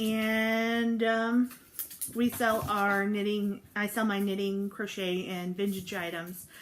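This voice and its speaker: A woman speaks very slowly with monotone, flat intonation. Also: medium pitch for a woman. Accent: American. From US Midwest, St. Louis, Missouri. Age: 20s. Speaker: knitting podcaster. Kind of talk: casual chat.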